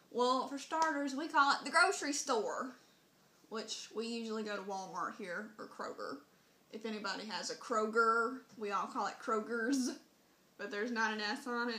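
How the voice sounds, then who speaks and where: A woman speaks with a Southern US accent at a moderate pace. Her voice is fairly high, and her intonation is lively. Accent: Southern US, country. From Southern Mississippi, US. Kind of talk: casual talk to camera.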